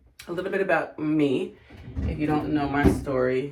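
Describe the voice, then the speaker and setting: This woman's voice is very deep and low-pitched, with fairly even intonation and a fairly slow pace. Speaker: vlogger and Air Force officer applicant. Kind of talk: casual vlog.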